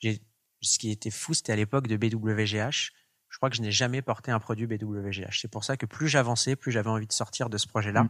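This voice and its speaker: A man's normal speaking voice at medium pitch, fairly quick pace and fairly even intonation, with a dry, close sound with no echo on a very clean recording with a silent background. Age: 20s. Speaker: fashion entrepreneur. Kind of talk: interview.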